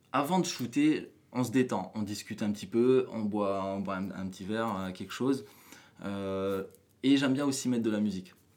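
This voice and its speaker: A man's fairly low, normal speaking voice with ordinary pitch variation at a moderate pace. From New Caledonia. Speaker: photographer. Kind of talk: casual interview. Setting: hotel room.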